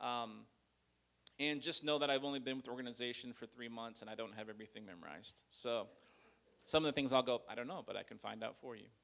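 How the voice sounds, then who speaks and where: A man at a very fast pace and medium pitch, with ordinary pitch variation and big swings in loudness. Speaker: nonprofit church liaison. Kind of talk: presentation. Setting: church with audience.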